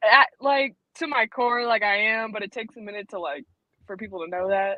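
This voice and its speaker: Fairly quick and fairly high, a woman with an American accent talks with ordinary pitch variation and big swings in loudness. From New York State (Arcade, western NY). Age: 20s. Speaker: guitarist. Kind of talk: casual interview. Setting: live stream video call.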